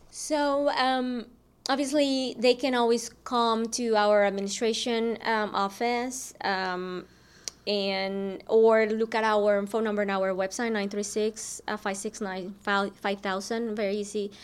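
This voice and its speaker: With a Spanish accent, a woman speaks at a fairly high pitch and with fairly even intonation. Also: fairly slow pace. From Mexico. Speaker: school district program director. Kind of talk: interview.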